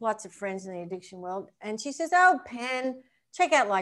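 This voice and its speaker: Her voice shows very wide pitch swings, in an Australian accent. The woman's recording is very clean, with a silent background. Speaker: professional golfer and recovery coach. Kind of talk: casual interview chat. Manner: animated.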